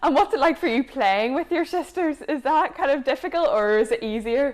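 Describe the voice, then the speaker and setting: At a fairly quick pace, a woman with a high pitch speaks in a Northern Irish accent with lively intonation and very even loudness. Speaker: sports show host. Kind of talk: interview.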